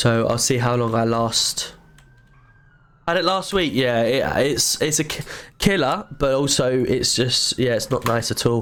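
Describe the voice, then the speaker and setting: With ordinary pitch variation, a man talks fairly slowly in a medium pitch. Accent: English. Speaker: streamer, gamer. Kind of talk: casual live stream chat.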